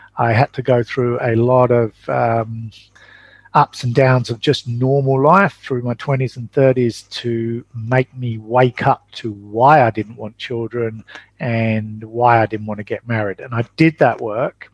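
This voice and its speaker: The speaker has an English accent and talks at a fairly slow pace with fairly even intonation. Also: man, medium pitch for a man. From England. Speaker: traveling parent and entrepreneur. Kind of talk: interview.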